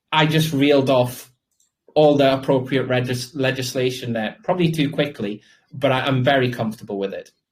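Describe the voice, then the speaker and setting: Speaking with a British accent, a man talks at a fairly quick pace in a medium pitch, somewhat breathy, with fairly even intonation. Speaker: crypto project founder. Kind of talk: interview Q&A. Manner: fast.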